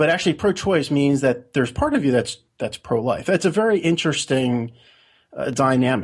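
A somewhat breathy voice with lively intonation comes through over a quiet background. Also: man. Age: 40s. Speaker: blogger and conspiracy theorist. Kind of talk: interview.

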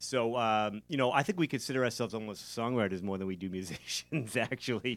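With an American accent, a man speaks at a fairly quick pace with a medium pitch and hardly any pauses in an unremarkable speaking voice, on a very clean recording with a silent background. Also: ordinary pitch variation. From South Shore, Massachusetts. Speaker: rock band guitarist. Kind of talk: casual interview. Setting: live venue recording.

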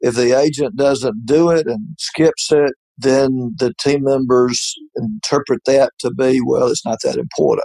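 Speaking at a fairly slow pace in a Southern US accent, a man with a fairly high pitch has a dark, mellow tone, recorded with a dry, close sound with no echo. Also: ordinary pitch variation. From US South. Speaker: retired insurance agency owner. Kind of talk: interview.

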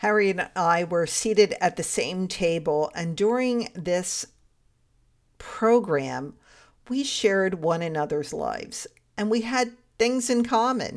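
A woman speaks at a fairly slow pace in a medium pitch with lively intonation, using a normal speaking voice. The recording is very clean, with a silent background. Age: 60s. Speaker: faith podcast host and life coach. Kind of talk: faith-based storytelling monologue. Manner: laughs often while speaking.

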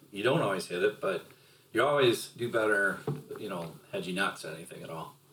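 Over noticeable background noise, a man with a fairly low pitch talks at a fairly quick pace, his intonation lively and his loudness swinging widely. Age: 50s. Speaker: podcast guest, host's father. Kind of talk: casual chat.

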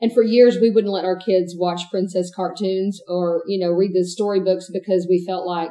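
A woman with a Texan accent talks at a moderate pace, with hardly any pauses. Her medium-pitched delivery is monotone and flat. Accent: Texan Southern US. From East Texas. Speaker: married guest sharing her marriage story. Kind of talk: interview.

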